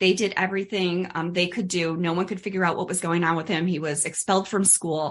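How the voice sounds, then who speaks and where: Monotone, flat intonation from a woman with a fairly low pitch. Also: fairly quick pace, hardly any pauses. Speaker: dental hygienist and myofunctional therapist. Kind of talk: interview. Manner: fast.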